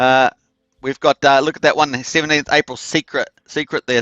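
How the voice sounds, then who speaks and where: A man's fairly high, bright, sharp voice moves at a fairly quick pace in a flat monotone, recorded dry and close with no echo over a quiet background. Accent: New Zealand. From New Zealand. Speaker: crypto project promoter. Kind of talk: live stream presentation. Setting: live stream. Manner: casual, many filler words.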